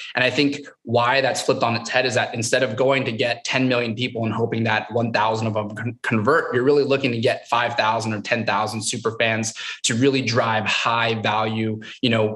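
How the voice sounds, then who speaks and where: A man speaks at a moderate pace in a monotone, flat intonation. The background is quiet. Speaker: guest. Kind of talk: panel discussion answer. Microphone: webcam.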